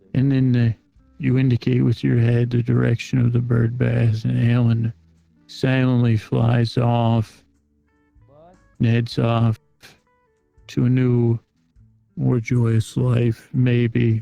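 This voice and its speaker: Faint music plays behind a man doing a put-on character voice at medium pitch, fairly slow, with long, frequent pauses. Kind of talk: improvised story told in character. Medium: role play.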